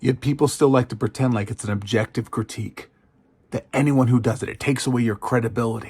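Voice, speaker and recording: Very fast and somewhat breathy, a man's voice comes through dry and close with no echo. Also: medium pitch for a man, fairly even intonation. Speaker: communication studies professor. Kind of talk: educational commentary.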